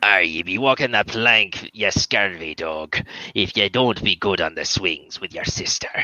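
The speech moves at a moderate speed. It comes in a put-on character voice. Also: man, fairly low pitch for a man. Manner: gruff mock-threat.

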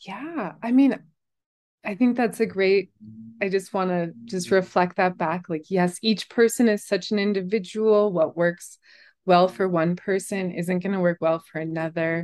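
Over a quiet background, a woman with an American accent talks at a fairly slow pace in a plain, everyday voice at a medium pitch. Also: ordinary pitch variation. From Colorado, US. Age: 40s. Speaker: herbalist. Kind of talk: interview.

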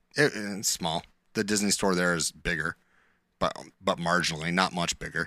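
A man with a northern New York accent speaks in a very deep, low voice with a bright, sharp tone, fairly even intonation and long, frequent pauses, recorded very cleanly against a silent background with a dry, close sound and no echo. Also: moderate pace. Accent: northern New York, Canadian-like. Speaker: podcast co-host. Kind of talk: casual chat.

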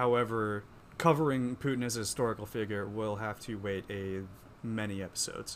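A man with an American accent speaks at a fairly quick pace in a normal speaking voice, his fairly low pitch carried by fairly even intonation. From Pennsylvania. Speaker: podcast co-host, journalist. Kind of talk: casual chat.

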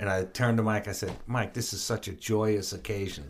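A normal speaking voice: a man with a fairly low pitch, at a moderate pace. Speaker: guitarist and music producer. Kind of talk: casual interview chat.

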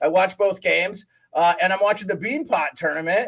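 This man has a high-pitched voice and talks with an American accent. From Montana. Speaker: hockey podcast host. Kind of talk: casual chat.

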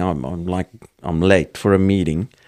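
A man with a South African accent talks at a moderate pace. The recording is very clean, with a silent background and a dry, close sound with no echo. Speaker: entrepreneur and farmer. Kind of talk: casual interview.

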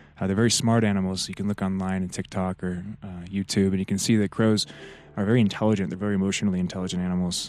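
A man speaks very fast in a very deep, low voice with flat, monotone intonation over music in the background. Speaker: spiritual podcast host, tarot reader. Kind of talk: solo spiritual monologue. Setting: outdoors in a forest. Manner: hesitant, many fillers.

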